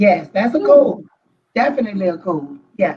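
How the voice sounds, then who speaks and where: A woman with a Louisiana accent speaks in a dark, mellow, somewhat breathy voice at medium pitch. Her pitch swings very widely at a moderate pace. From southern Louisiana. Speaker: therapist. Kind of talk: casual chat.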